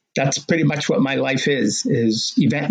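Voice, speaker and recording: With an American accent and an ordinary speaking voice, a man talks at a moderate pace, his medium pitch showing ordinary pitch variation. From Massachusetts, Medford (Boston area). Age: 60s. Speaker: marathon runner and race director. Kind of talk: podcast interview. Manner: casual with fillers.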